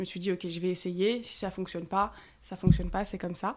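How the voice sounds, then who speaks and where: A woman with an ordinary speaking voice talks at a fairly quick pace and medium pitch, recorded very cleanly over a silent background. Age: 20s. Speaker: content creator and mother sharing breastfeeding story. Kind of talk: testimony. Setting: face-to-face at the host's home.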